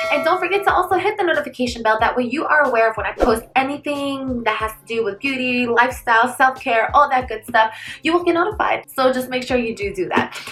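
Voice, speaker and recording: Bright and sharp in tone, a woman races along at a very fast pace with hardly any pauses, her high voice animated and lively in intonation. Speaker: beauty vlogger. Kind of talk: casual chat.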